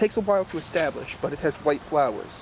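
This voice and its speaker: An animated man with an American accent at a moderate pace, over noticeable background noise. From New Jersey. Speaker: gardening video host. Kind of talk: casual outdoor garden tour. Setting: outdoors in a garden. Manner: casual, animated.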